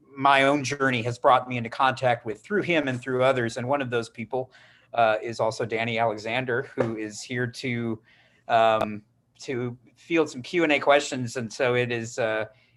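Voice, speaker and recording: A man with an American accent uses an unremarkable speaking voice at medium pitch, moving at a moderate pace with fairly even intonation in a very clean recording with a silent background. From Wisconsin. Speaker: writer and teacher, panel moderator. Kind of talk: panel moderation.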